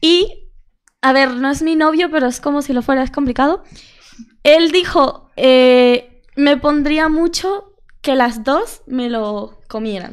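A woman with a high pitch and ordinary pitch variation speaks at a very slow pace. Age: young. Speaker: social media content creator. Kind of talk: casual chat.

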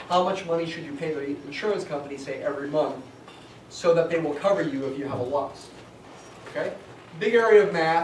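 A man with a high pitch speaks at a fairly quick pace, with audible room echo and light background noise. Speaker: college statistics instructor. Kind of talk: lecture. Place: classroom. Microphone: camera far.

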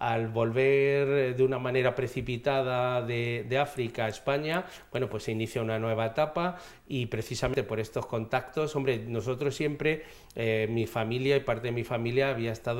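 The pace of this man's speech is moderate. He keeps his intonation fairly even. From Madrid, Spain; Spain. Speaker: regional government official. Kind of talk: TV interview. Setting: TV studio. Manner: halting. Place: studio. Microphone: lapel.

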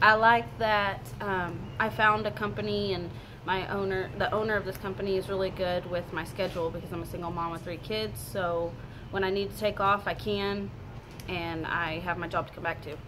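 Noticeable background noise is audible throughout. A woman talks at a moderate pace and a fairly low pitch. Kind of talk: interview answer. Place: shop. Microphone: camera far.

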